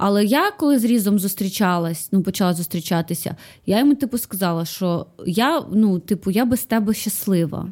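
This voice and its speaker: An ordinary speaking voice from a woman, medium in pitch and lively in intonation, at a fairly quick pace on a very clean recording with a silent background. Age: 30s. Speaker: actress and comedian. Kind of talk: casual chat.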